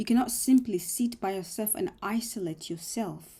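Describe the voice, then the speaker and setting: A woman's voice has a dark, mellow tone and vocal fry. She speaks at a fairly slow pace with ordinary pitch variation. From Africa, moved to Australia at eight. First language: not English (learned English after eight). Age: 20s. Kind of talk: personal reflective monologue. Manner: mumbling, halting.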